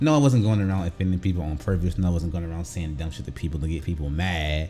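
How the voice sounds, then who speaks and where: Over music in the background, a man speaks at a very fast pace. His very deep, low pitch shows ordinary variation. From US South. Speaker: gaming youtuber, navy veteran. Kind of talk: casual vlog commentary.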